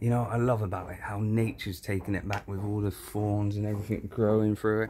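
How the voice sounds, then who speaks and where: Amid noticeable background noise, a somewhat breathy man with a fairly low pitch talks at a moderate pace. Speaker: urban explorer vlogger. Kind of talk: casual vlog chat. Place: open country. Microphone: phone near.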